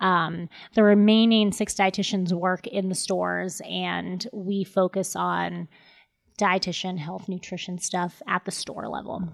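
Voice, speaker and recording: With an American accent, a woman uses a plain, everyday voice at medium pitch. She speaks at a fairly slow pace with fairly even intonation, in a very clean recording with a silent background. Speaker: dietitian. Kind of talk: casual podcast interview.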